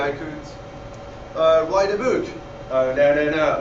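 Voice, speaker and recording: With a French accent, a man talks at a moderate pace, with audible room echo and noticeable background noise. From France. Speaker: student. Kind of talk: startup pitch.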